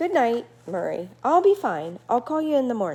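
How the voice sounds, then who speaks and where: A female-sounding voice performs a put-on character voice at a moderate pace, high-pitched and with very wide pitch swings. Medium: read story. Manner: tired.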